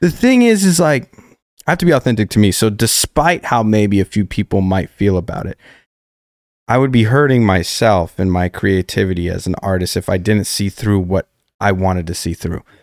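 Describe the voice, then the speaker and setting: With an American accent, a man uses an ordinary speaking voice, fairly low in pitch and lively in intonation, at a moderate pace. The sound is dry and close with no echo, in a very clean recording with a silent background. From Colorado. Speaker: singer-songwriter. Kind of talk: casual chat.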